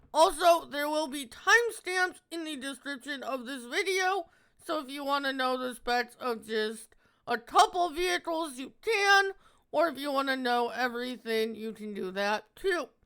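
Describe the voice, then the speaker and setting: A man speaks at a moderate pace in an extremely high pitch, his voice raised and projected with a bright, sharp tone. His intonation is lively, and his loudness swings widely. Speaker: gaming video creator. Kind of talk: game review.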